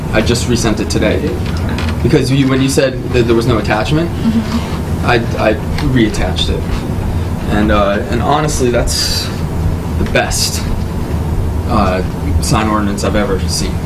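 Loud background noise surrounds a man's voice. He talks at a moderate pace with long, frequent pauses. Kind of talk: meeting discussion. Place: meeting room. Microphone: camera far.

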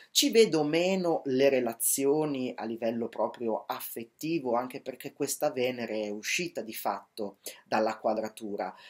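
The pace is fairly slow and the background quiet. A man speaks with ordinary pitch variation. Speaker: astrologer. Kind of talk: horoscope monologue. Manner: hesitant, many fillers. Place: home room. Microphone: webcam.

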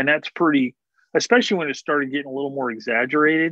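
Delivered at a very fast pace with ordinary pitch variation, the voice comes through as a dry sound with no echo against a quiet background. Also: man. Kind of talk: casual conversation. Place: home room. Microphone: video call.

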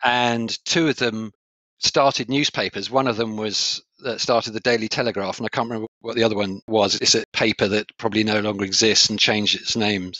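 A man's medium-pitched voice in a southern English accent, fairly quick, with fairly even intonation. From England (Kent, Sevenoaks). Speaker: coach and trainer. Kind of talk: interview conversation. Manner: clear, articulate.

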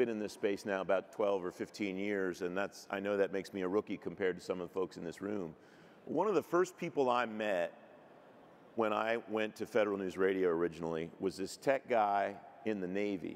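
A man speaks at a fairly quick pace with a fairly low pitch and ordinary pitch variation. It is an ordinary speaking voice. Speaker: broadcast journalist and panel moderator; broadcast journalist, panel moderator. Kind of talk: panel discussion. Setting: stage with audience. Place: stage. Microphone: handheld.

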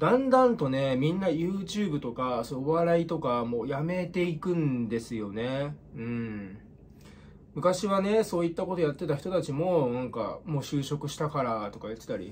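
This man's voice is somewhat breathy, with very wide pitch swings. He talks at a moderate pace. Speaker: comedian youtuber. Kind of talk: casual vlog chat. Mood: reflective, slightly gloomy. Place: home room. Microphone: phone near.

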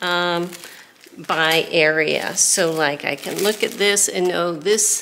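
A woman speaks at a very slow pace. Light background noise can be heard. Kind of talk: tutorial. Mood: relaxed, chatty. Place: workshop.

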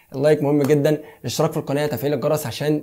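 A dark, mellow tone from a man, somewhat breathy. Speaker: tech YouTuber. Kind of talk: product review.

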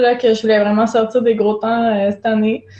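Audible room echo surrounds this woman's voice. She speaks at a fairly high pitch with fairly even intonation. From Quebec. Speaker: elite runner and kinesiologist; guest. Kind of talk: casual interview. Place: home room.

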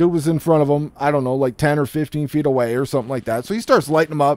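A man is heard in a very clean recording with a silent background, the sound dry and close with no echo. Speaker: gaming YouTuber. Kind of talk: profane gaming rant about leaked gameplay, building to a heated vent. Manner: fired-up, exasperated, swearing and piling up run-on clauses.

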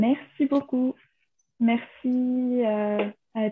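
A woman's voice against light background noise. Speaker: event organizer; webinar host. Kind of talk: announcement. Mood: polite, thankful. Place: home room. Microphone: webcam.

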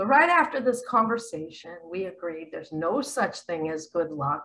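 A woman talks at a fairly slow pace. Her pitch swings very widely. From Missouri, US Midwest. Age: 60s. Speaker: spiritual speaker. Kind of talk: video monologue. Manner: animated. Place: home room. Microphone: webcam.

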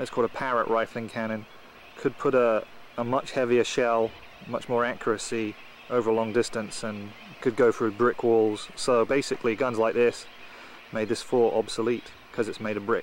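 A man speaks at a moderate pace in a monotone, flat way, the sound dry with no echo and light background noise behind him. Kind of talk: casual home-video commentary. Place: open country. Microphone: old recording.

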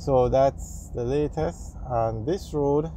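Light background noise in a dry sound with no echo. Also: man. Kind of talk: casual commentary. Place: car. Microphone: phone near.

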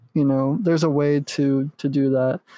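This man has a plain, everyday voice, pitched fairly high and delivered at a moderate pace. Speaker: podcast co-host. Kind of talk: casual chat.

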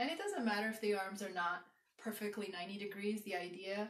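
A woman speaks at a moderate pace. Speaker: exercise instructor. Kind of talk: tutorial. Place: home room. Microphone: camera far.

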